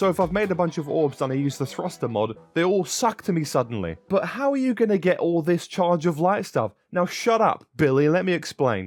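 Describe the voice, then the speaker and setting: A man speaks with a British accent at a fairly quick pace, his voice pitched high. His tone is animated, with very wide pitch swings. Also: hardly any pauses. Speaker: gaming YouTuber. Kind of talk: gaming tutorial. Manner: casual, animated.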